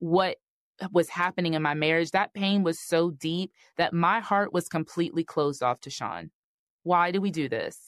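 In a quiet background, a woman with an ordinary speaking voice talks at a fairly low pitch with ordinary pitch variation, the sound dry and close with no echo. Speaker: podcast host, relationship coach. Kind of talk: solo podcast monologue, advice talk. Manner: warm, encouraging, conversational.

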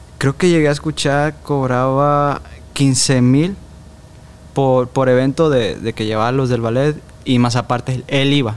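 Speaking at a fairly slow pace, a man uses a plain, everyday voice with medium pitch and fairly even intonation. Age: 20s. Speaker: former TV show performer and actor. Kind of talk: interview.

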